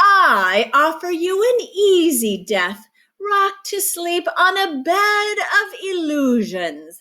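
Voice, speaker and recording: A woman speaks in a put-on character voice. Her pitch is extremely high and her pace very slow. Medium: read story. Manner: roaring, menacing.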